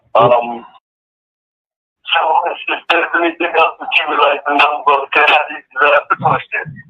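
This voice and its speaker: A man with an American accent speaks at a fairly high pitch and a fairly slow pace, using fairly even intonation and long, frequent pauses. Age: 60s. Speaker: prison inmate. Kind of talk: interview. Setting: phone call from prison. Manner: halting. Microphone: phone line, turned up loud.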